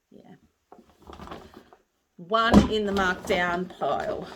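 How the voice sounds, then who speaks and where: Speaking with an Australian accent, a woman has a relaxed tone. Her pace is very slow. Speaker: crochet maker and market seller. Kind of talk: casual vlog show and tell. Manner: relaxed, hesitant.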